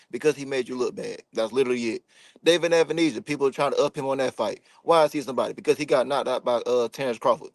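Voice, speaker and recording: In a dry, close sound with no echo, a man with an American accent speaks at a very fast pace. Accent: country twang. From US South. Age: 20s. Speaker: professional boxer. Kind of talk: casual chat. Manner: animated.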